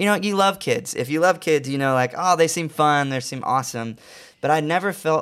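A man talks at a moderate pace with ordinary pitch variation and an unremarkable speaking voice. The recording is very clean, with a silent background. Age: 20s. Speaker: recording artist. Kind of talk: interview.

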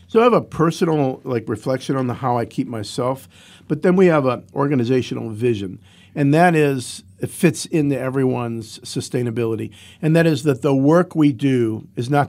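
This man has an unremarkable speaking voice at a medium pitch, with ordinary pitch variation and an American accent. He talks at a moderate pace in a very clean recording with a silent background. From Ohio, US (Cleveland). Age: 60s. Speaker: founder of a homeless shelter charity. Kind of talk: interview.

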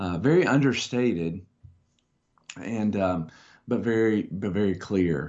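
Leaving long, frequent pauses, a man speaks at a fairly slow pace in a fairly low pitch with ordinary pitch variation. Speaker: pastor. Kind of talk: casual discussion. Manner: halting, many fillers.

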